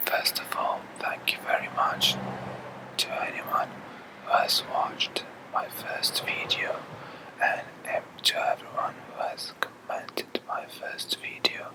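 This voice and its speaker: Someone whispers at a very slow pace with long, frequent pauses amid noticeable background noise. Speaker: ASMR whisper video creator. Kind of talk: whispered music talk. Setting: outdoors on house terrace at night. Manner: whispering.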